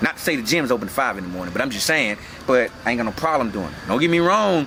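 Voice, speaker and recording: Music plays in the background as a man speaks very fast at a medium pitch. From North Carolina, Winston-Salem. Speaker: personal trainer and gym owner. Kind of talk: casual interview. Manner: casual, relaxed.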